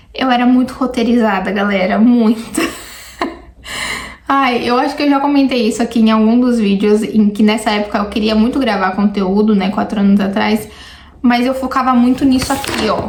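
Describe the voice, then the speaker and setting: Audible room echo and noticeable background noise, with fairly even intonation, very even loudness and a moderate pace. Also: woman, fairly high pitch for a woman. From Brazil, São Paulo. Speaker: YouTuber. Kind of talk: casual reaction vlog.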